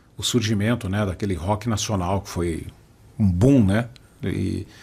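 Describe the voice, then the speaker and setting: Fairly low in pitch and somewhat breathy, this man's dark, mellow voice moves at a fairly slow pace with fairly even intonation. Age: 60s. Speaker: podcast host. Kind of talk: podcast conversation.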